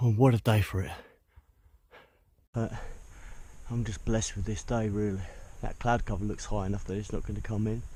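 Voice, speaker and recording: Speaking at a fairly quick pace yet with long, frequent pauses, a man keeps a monotone, flat intonation in a dark, mellow, somewhat breathy tone. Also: fairly low pitch for a man. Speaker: hiking vlogger. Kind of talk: solo vlog narration outdoors. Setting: outdoors on a mountain.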